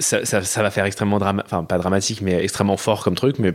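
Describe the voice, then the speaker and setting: This is a normal speaking voice. Its intonation stays fairly even. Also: man. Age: 20s. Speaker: podcast listener sharing experiences. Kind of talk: casual chat.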